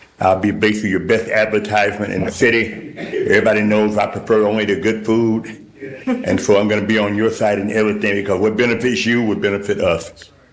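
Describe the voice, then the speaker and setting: Through noticeable background noise and audible room echo, a man races along at a very fast pace with a fairly low pitch. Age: 70s. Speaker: church leader addressing council. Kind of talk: public comment at council meeting. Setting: city council meeting. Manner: animated.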